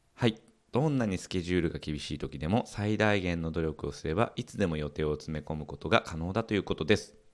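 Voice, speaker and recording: Very deep, low male speech, fairly quick in pace and ordinary in its pitch variation. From Okayama, Japan. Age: 30s. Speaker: podcast host. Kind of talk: casual chat.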